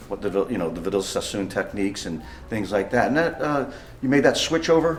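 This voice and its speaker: With lively intonation, a man talks as noticeable background noise sounds behind him. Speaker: hair salon owner and stylist. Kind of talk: interview questions.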